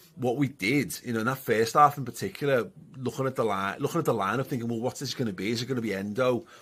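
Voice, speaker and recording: A man with a medium-pitched, bright and sharp voice talks at a fairly quick pace with ordinary pitch variation on a very clean recording with a silent background. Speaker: football pundit. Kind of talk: match reaction. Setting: studio.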